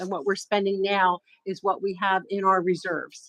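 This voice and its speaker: A woman's medium-pitched voice, dry and close with no echo. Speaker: township manager. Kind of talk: public meeting report. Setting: board meeting. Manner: fast.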